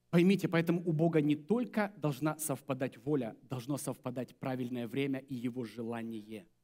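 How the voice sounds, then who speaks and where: Over a quiet background, a man speaks in a dark, mellow tone with hardly any pauses. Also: moderate pace. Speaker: pastor. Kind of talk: sermon. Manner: animated. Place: church. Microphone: headset.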